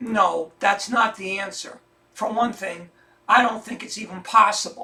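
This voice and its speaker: A man does a put-on character voice, raspy and high-pitched, at a moderate pace. His intonation stays fairly even, though his loudness swings widely. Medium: audio drama. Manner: sincere, earnest.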